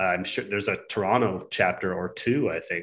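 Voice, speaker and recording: A man's fairly low pitch and an unremarkable speaking voice, at a moderate pace with ordinary pitch variation, over a quiet background. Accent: Canadian. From southwestern Ontario. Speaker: custom home builder. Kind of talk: casual interview.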